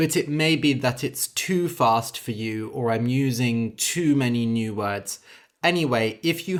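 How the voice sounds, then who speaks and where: A man with a plain, everyday voice, medium pitch and fairly slow pace, on a very clean recording with a silent background. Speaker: English teacher and storyteller. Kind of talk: tutorial; reading aloud. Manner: clear, deliberate.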